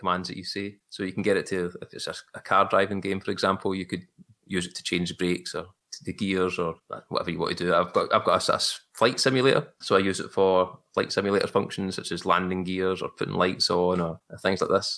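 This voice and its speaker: The speaker has a Glaswegian accent and a fairly quick pace. It is a very clean recording, silent background. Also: man. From Scotland, Glasgow. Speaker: photographer. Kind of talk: casual chat.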